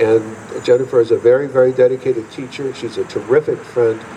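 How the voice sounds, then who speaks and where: Amid noticeable background noise, a man speaks at a moderate pace in a monotone, flat intonation. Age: 70s. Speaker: fife and drum teacher. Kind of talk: acceptance speech. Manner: halting.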